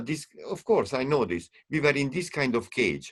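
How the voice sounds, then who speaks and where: A man with a non-native accent at a moderate pace. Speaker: string quartet musician and teacher. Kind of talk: panel discussion. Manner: halting; animated.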